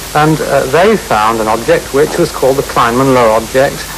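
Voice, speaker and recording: Noticeable background noise runs under the recording. A man of medium pitch speaks at a moderate pace with ordinary pitch variation. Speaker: astronomer. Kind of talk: TV interview answer. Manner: hesitant.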